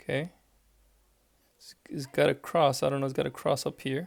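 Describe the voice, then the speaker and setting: A man speaks at a moderate pace and fairly high pitch. There is vocal fry, and his intonation is fairly even. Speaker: math teacher. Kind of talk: tutorial. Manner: casual, thinking aloud.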